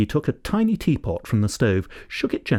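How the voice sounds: The clip presents a natural reading voice.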